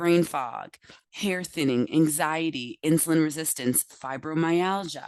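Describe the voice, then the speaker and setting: A woman with a very deep, low pitch talks at a fairly slow pace, her intonation lively and her tone animated. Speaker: health practitioner giving a talk. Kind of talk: lecture.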